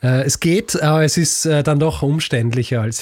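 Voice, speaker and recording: Somewhat breathy, a man speaks with a slight Viennese accent and fairly even intonation. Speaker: history podcaster. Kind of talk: casual chat. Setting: remote recording from bedroom.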